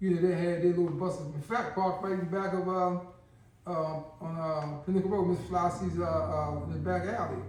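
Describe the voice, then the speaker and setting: A man's fairly quick speech carries audible room echo amid noticeable background noise. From Baltimore, Maryland (Park Heights). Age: 60s. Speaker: former long-term prisoner. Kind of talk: interview storytelling.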